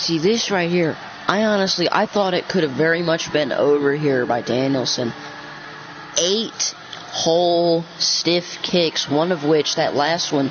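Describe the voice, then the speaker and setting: Noticeable background noise accompanies speech that unfolds at a fairly slow pace. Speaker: gaming commentator. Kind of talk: casual chat; live commentary. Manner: casual.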